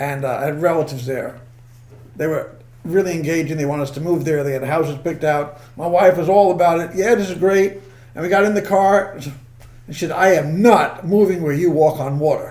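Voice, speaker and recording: A high-pitched man with a New York accent mumbles at a fairly quick pace, with ordinary pitch variation. Audible room echo and noticeable background noise surround him. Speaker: comedian. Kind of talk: casual chat. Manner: fast, mumbling.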